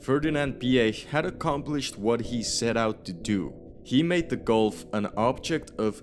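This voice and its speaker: Music plays behind a man speaking at a medium pitch with lively intonation. His pace is fairly slow, yet he hardly pauses at all. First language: not English. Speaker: car history video narrator. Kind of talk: scripted narration.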